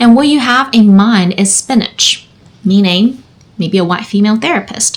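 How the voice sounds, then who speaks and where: A woman speaks in a Chinese accent at a moderate pace. Her pitch is fairly high, with ordinary variation. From China. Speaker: therapist. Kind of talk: personal storytelling monologue.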